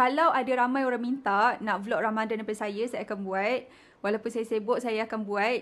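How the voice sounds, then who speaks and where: Using a normal speaking voice, a woman talks at a fairly quick pace and fairly high pitch. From Malaysia. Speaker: medical student vlogger. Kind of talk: vlog narration.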